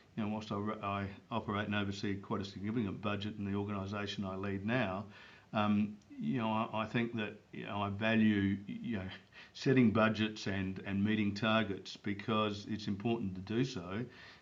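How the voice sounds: Fairly low male voice at a moderate pace, with little pitch movement and audible room echo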